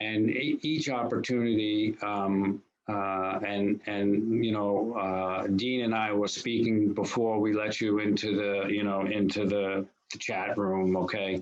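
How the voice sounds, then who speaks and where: A man with a fairly low pitch speaks fairly slowly in a flat monotone, his loudness very even throughout. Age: 60s. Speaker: bank executive. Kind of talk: Q&A at online student event. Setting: video call. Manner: halting, many fillers.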